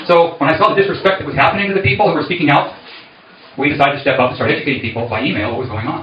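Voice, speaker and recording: Over noticeable background noise and audible room echo, a man with a fairly high pitch talks at a very fast pace with lively intonation. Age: 60s. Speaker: candidate for community board. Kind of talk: campaign speech at meeting.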